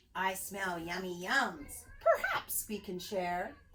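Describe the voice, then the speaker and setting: A woman's put-on character voice at medium pitch and a very slow pace. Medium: read story.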